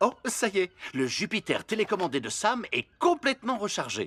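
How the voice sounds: A man performs a cartoonish character voice with very wide pitch swings and a high pitch. His tone is fairly bright with a slightly husky edge, and he talks at a fairly quick pace.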